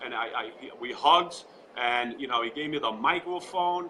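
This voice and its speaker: Over noticeable background noise, someone speaks at a moderate pace with lively intonation. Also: man. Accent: New York. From Long Island, New York. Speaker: political supporter. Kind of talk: live interview. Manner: animated.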